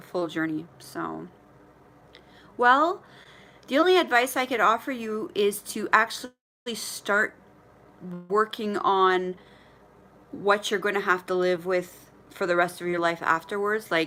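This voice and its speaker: With a Canadian accent, the speaker has lively intonation and a bright, sharp tone, moving at a fairly slow pace with long, frequent pauses. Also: woman, medium pitch for a woman. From Ontario, Canada. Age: 40s. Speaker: vlogger sharing weight-loss surgery journey. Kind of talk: live stream chat with viewers. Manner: stutters when nervous; casual, halting. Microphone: connectivity issues.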